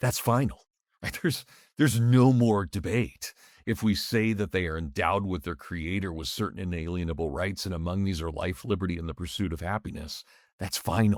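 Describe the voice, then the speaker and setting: Captured on a very clean recording with a silent background, a man's very deep, low voice moves at a fairly quick clip, its pitch varying in an ordinary way. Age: 50s. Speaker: history professor and author. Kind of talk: podcast interview. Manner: animated.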